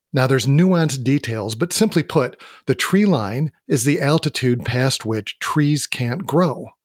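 Over a silent background in a very clean, dry, close recording with no echo, a man with an American accent and fairly high pitch speaks somewhat breathily at a fairly slow pace, with lively intonation and hardly any pauses. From US Midwest. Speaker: podcast host and leadership coach. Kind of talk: solo podcast monologue.

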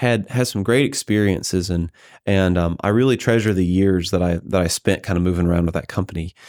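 A man with an American accent uses a normal speaking voice, fairly low in pitch with fairly even intonation. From US South, Georgia (Carrollton). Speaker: engineering professor. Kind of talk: interview.

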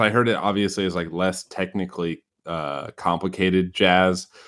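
On a very clean recording with a silent background, a man with a strong Midwestern US accent talks at a moderate pace in a very deep, low pitch. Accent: Midwestern US, heavy. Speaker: podcast host. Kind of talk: casual podcast chat.

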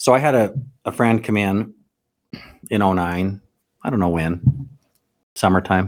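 A fairly low-pitched man with an American accent, fairly slow, with ordinary pitch variation and long, frequent pauses. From Utah, US. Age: 40s. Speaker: car dealership owner. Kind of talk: casual interview.

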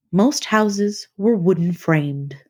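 A woman speaks at a very slow pace in a fairly low pitch, with ordinary pitch variation. Her voice is somewhat breathy. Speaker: podcast host. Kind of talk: documentary narration. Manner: measured, storytelling tone.

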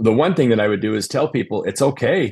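A man with an American accent speaks at a medium pitch with lively intonation. It's a normal speaking voice over a quiet background. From Utah. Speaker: contractor, company owner. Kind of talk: casual interview chat. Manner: conversational, filler-heavy.

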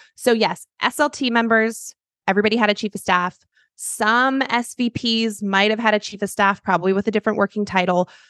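This woman has a plain, everyday voice at a medium pitch with an American accent, ordinary pitch variation and a fairly quick pace, recorded with a dry, close sound with no echo against a quiet background. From US Pacific Northwest, Seattle. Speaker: business founder and chief of staff consultant. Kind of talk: interview conversation.

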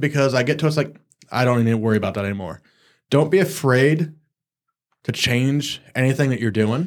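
A man talks fairly quickly in a normal speaking voice, pitched fairly high, with ordinary pitch variation. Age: 40s. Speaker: associate pastor. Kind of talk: casual faith discussion.

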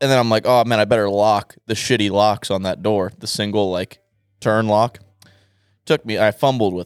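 In a normal speaking voice, a man talks at a moderate pace and a fairly low pitch, on a very clean recording with a silent background. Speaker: podcast guest. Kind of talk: casual chat. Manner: joking, crude.

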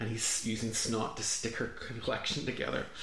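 With an Irish accent, a man speaks at a medium pitch against noticeable background noise. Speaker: podcast guest, comedian.

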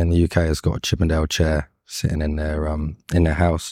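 A man with a London accent and a dark, mellow tone speaks in a very clean recording with a silent background. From London, England. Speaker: carpenter and fine furniture maker. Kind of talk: interview. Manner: hesitant.

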